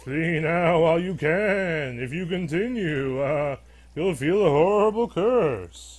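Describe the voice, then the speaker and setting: A man puts on a character voice with a high pitch. His delivery is fairly slow. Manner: spooky, ominous.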